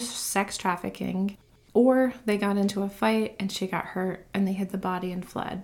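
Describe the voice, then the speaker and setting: A woman has an ordinary speaking voice. Her pitch is medium and her intonation fairly even. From South Carolina coast (Myrtle Beach). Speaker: true crime podcaster. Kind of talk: scripted narration.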